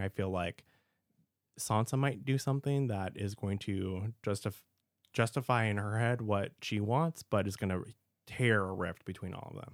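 The recording is very clean, with a silent background and a dry, close sound with no echo. A man speaks at a moderate pace in an unremarkable speaking voice, fairly low in pitch. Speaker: podcast host. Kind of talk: casual chat.

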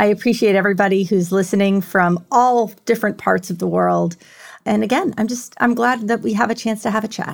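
This is a normal speaking voice with an American accent, moving at a fairly quick pace with fairly even intonation. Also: woman, medium pitch for a woman. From New York City. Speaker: tech executive with a PhD in leadership. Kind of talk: interview about personal mental health story. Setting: remote call.

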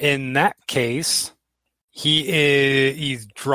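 An unforced reading voice with fairly even intonation over a quiet background

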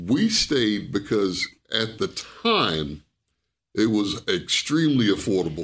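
In a New York accent, a man with a fairly low pitch speaks at a very slow pace, with lively intonation and very even loudness. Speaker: retired soldier, retirement services staff. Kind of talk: casual interview.

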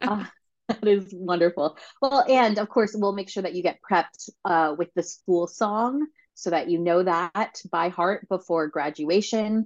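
A woman in a normal speaking voice talks at a fairly slow pace, her medium pitch showing ordinary pitch variation. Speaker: podcast host, alumni council president. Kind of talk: interview.

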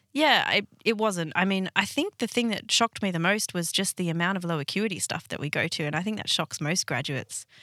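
Dry and close with no echo, a woman with a bright, sharp tone speaks at a medium pitch and a fairly quick pace with lively intonation. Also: hardly any pauses. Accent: Australian. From Sydney, Australia. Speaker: paramedic. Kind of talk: interview.

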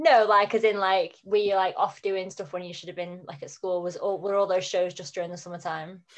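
A woman with a normal speaking voice at medium pitch, fairly even intonation, big swings in loudness, hardly any pauses, and a quiet background. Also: fairly quick pace. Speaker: podcast host. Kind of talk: casual interview chat.

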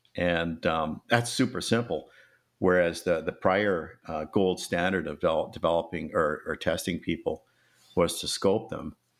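Very deep and low in pitch, a man speaks at a fairly slow pace with ordinary pitch variation in a very clean recording with a silent background. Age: old. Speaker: pharmaceutical company CEO. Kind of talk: interview.

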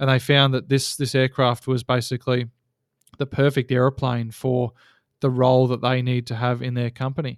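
A man with an Australian accent talks at a fairly quick pace at medium pitch, in monotone, flat intonation. The recording is very clean, with a silent background and a dry, close sound with no echo. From Australia, Geelong (Victoria). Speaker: seaplane pilot and operator. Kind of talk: casual interview.

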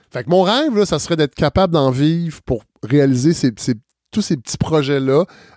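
An unremarkable speaking voice moves at a moderate pace with lively intonation, the sound dry and close with no echo. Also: man, fairly high pitch for a man. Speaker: podcast host and former radio worker. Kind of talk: casual interview. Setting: at his home.

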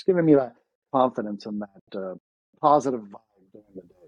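Heard with a dry, close sound and no echo, a man's dark, mellow voice moves at a moderate pace with ordinary pitch variation. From Ukraine, then Toronto, Canada. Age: 30s. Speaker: former pro tennis player, real estate agent. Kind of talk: casual interview chat.

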